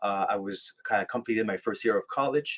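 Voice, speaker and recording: The sound is dry and close, with no echo. A man talks fairly quickly in a French Canadian accent. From Quebec, French Canada. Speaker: military veteran and life coach. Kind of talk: podcast interview, personal story. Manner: halting, many fillers and restarts.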